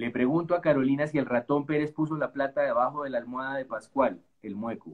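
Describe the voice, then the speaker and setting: This man has an unremarkable speaking voice with ordinary pitch variation. He talks at a fairly quick pace. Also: fairly high pitch for a man. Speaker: novelist. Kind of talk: reading aloud; casual chat.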